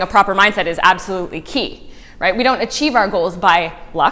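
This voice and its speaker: A woman's loud, bright, sharp voice sits at medium pitch and moves with lively intonation. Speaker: motivational speaker. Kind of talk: talk to a live audience. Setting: room with audience.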